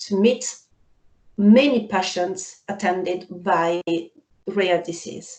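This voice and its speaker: In an Italian accent, a dark, mellow voice speaks at a very slow pace with ordinary pitch variation. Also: woman. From Italy. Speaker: freelance translator and patient representative. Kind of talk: panel discussion.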